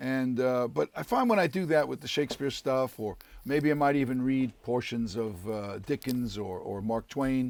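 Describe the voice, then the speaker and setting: Speaking with an East Coast accent, a man keeps a medium pitch, ordinary pitch variation and a moderate pace. He uses hardly any pauses, and the recording is very clean with a silent background. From US East Coast, Harlem, New York. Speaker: actor. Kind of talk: casual interview chat.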